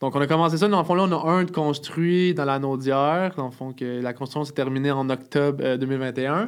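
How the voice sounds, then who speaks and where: A man with a fairly high pitch speaks in a plain, everyday voice at a moderate pace, with ordinary pitch variation and hardly any pauses. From Montreal, Quebec. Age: 20s. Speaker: wheelchair user sharing life story. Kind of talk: casual interview. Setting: studio.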